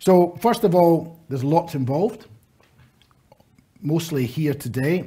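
Here a man speaks at a fairly slow pace. His tone is dark and mellow, and his intonation is lively. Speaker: conference presenter. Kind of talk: conference speech. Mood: warm, lightly humorous. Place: hall.

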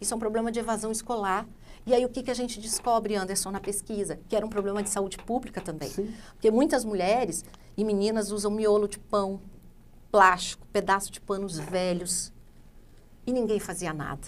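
Over light background noise, a woman speaks fairly quickly at a medium pitch with ordinary pitch variation. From Rondônia, Brazil (born in Santa Catarina). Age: 40s. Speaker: politician, Senate candidate; interview guest, politician. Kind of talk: interview. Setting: studio. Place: studio. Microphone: lapel.

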